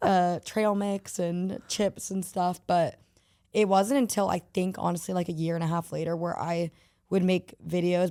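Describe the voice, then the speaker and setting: On a very clean recording with a silent background, a woman with a dark, mellow tone speaks in a fairly low pitch at a moderate pace with fairly even intonation. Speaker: social media influencer. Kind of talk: casual interview chat. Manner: casual, filler-heavy.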